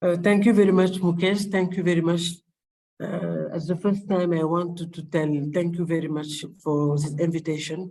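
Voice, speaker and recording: A man with a high pitch talks at a moderate pace in a dark, mellow tone, his intonation flat and monotone. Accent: French. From Senegal. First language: French. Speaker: public health official. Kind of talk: webinar panel discussion. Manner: halting.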